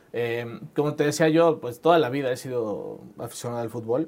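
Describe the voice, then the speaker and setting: A man with a plain, everyday voice, fairly quick pace and ordinary pitch variation. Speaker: entrepreneur, startup founder. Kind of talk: interview conversation.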